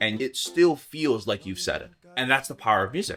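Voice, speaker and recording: A man speaks with a Hawaiian accent at a fairly quick pace, his tone bright and sharp. His pitch swings very widely, and the recording is very clean with a silent background. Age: 20s. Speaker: singer-songwriter. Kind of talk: documentary interview.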